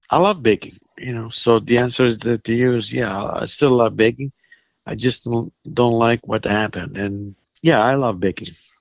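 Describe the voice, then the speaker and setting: Dry and close with no echo, a man's medium-pitched voice moves at a moderate pace with ordinary pitch variation. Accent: Italian. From Italy. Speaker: baker. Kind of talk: phone interview. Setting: phone call. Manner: halting, repeats words.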